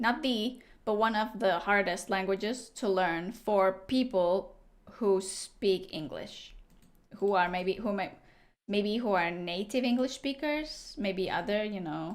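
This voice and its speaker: At a fairly slow pace, a woman with a non-native accent speaks at a medium pitch with ordinary pitch variation. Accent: foreign accent in English. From Latvia. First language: Latvian. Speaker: video game streamer. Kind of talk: casual livestream chat. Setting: livestream.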